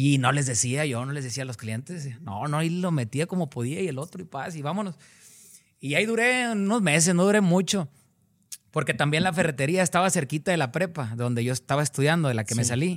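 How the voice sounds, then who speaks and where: A man talks at a fairly quick pace with lively intonation in a plain, everyday voice. The recording is very clean, with a silent background. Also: fairly high pitch for a man. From Cadereyta Jiménez, Nuevo León, northern Mexico. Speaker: singer. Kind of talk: interview.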